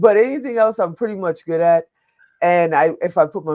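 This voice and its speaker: With an American accent, a woman speaks in a plain, everyday voice at a moderate pace with ordinary pitch variation. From Chicago, US Midwest. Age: 60s. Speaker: media producer, entrepreneur and veteran. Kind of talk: webinar panel interview. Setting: online webinar.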